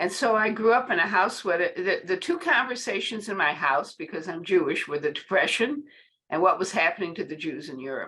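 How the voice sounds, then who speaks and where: A woman's bright, sharp voice at a fairly quick pace, with very wide pitch swings. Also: medium pitch for a woman. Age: 80s+. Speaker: workshop participant. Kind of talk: sharing in group.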